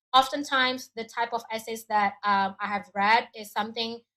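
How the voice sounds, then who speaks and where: Speaking with an Indonesian accent, a woman uses a fairly high pitch and a bright, sharp tone. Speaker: education adviser. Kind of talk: webinar presentation. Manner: hesitant, with fillers.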